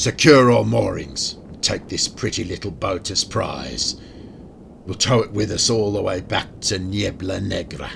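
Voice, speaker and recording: Through clear background noise, a man in a put-on character voice speaks at a moderate pace with a fairly low pitch. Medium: audio drama. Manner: barking, swaggering.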